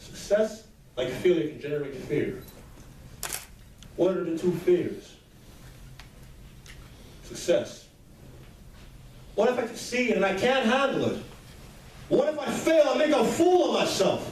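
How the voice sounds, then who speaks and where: A man's extremely high voice with very wide pitch swings, a fairly slow pace and long, frequent pauses, over noticeable background noise. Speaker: motivational speaker. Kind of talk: motivational speech.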